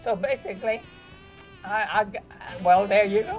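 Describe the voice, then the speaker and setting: A woman with a fairly high pitch speaks while music plays in the background. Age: 80s+. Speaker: former dancer and real estate broker; army veteran. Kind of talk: interview answer.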